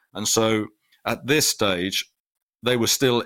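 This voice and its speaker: The voice has a bright, sharp tone and a British accent. The sound is dry and close, with no echo. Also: man. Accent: British-sounding English. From Finland. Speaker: sports media executive. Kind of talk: interview.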